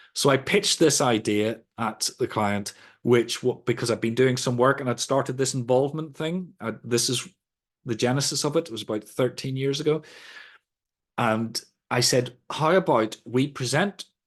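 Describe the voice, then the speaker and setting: With a Northern Irish accent, a man speaks at a moderate pace with medium pitch and ordinary pitch variation. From Northern Ireland. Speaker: sustainability trainer. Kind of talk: lecture. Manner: conversational.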